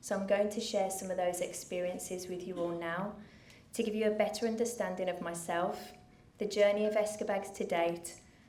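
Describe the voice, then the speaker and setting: A woman with a Brummie accent at medium pitch, moderate pace and monotone, flat intonation, with audible room echo. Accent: Birmingham (Brummie). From England, Birmingham. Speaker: charity founder. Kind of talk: speech to an audience. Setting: stage with audience.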